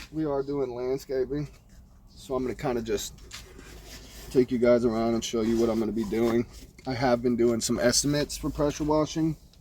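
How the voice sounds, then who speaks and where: A man with a medium-pitched voice talks at a fairly quick pace in a fairly even tone, broken by long, frequent pauses. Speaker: pressure washing business owner and vlogger. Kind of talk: casual vlog walkthrough. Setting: outdoors at a customer's yard.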